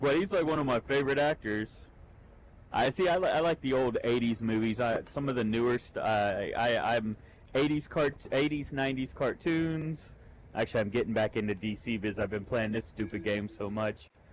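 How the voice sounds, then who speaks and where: With a plain, everyday voice, a man talks at a medium pitch and moderate speed, his pitch varying in a normal way. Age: 30s. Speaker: gamer. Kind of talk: casual chat.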